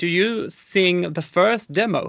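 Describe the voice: Slow, high-pitched male speech with vocal fry, a fairly bright tone and ordinary pitch variation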